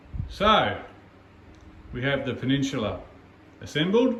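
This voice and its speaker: Noticeable background noise and audible room echo surround a man whose intonation is lively. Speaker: model railway hobbyist vlogger. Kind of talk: casual video walkthrough.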